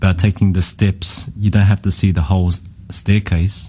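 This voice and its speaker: With an Australian accent, a man speaks with a very deep, low pitch in a dark, mellow, somewhat breathy tone. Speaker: radio co-host. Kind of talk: interview.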